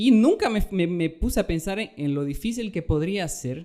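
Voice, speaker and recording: The tone is dark and mellow, carried by lively intonation. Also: man. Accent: Bolivian. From Bolivia. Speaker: podcast host, doctor. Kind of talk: casual podcast chat.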